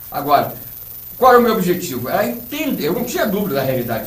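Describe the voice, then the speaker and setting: Over noticeable background noise and audible room echo, a man talks at a very fast pace with very wide pitch swings. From Rio de Janeiro state, Brazil. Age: 60s. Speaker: ufologist and author. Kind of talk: interview. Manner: hesitant, many fillers.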